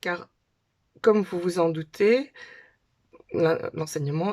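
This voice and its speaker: A woman's very slow speech, with pitch varying in an ordinary way. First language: Dutch (speaking French). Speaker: conference interpreter. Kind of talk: casual talk to camera. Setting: home, daughters' bedroom. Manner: hesitant, with filler sounds.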